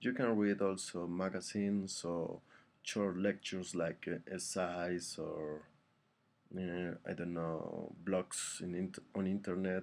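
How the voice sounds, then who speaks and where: A man with a non-native accent, a very deep, low pitch, monotone, flat intonation and a very slow pace. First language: not English. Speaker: English learner vlogger. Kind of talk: tutorial. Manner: halting, many fillers.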